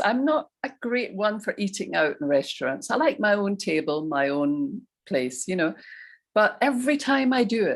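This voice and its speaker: A woman with a British accent speaks at a moderate pace in a fairly high voice with vocal fry. Her pitch swings very widely. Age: 70s. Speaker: recovery group speaker. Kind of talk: testimony.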